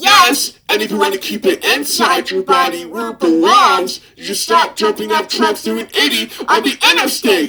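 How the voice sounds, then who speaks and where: Someone in a put-on character voice speaks at a fairly high pitch and moderate pace, with hardly any pauses. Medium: dub. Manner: sarcastic, exasperated.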